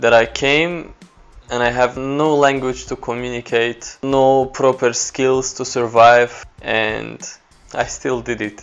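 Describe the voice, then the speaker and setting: With music in the background, a man with an Azerbaijani accent speaks very slowly in a flat monotone at medium pitch. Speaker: photographer. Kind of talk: personal story talk to camera.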